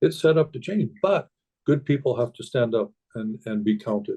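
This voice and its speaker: A man with a Canadian accent talks at a fairly quick pace with lively intonation. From Canada. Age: 60s. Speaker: hunter. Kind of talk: podcast interview. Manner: halting, many repeated words.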